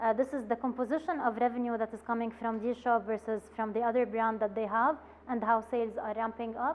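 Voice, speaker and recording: A woman's fairly high, monotone, flat voice at a fairly quick pace. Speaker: business training presenter. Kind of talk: workshop lecture presenting slides. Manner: hesitant with many filler sounds.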